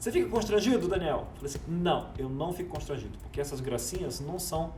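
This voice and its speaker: Words come fairly quickly, with room echo clearly audible and background noise easy to notice. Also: man. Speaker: public speaking coach. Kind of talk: vlog-style tutorial. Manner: fast; casual.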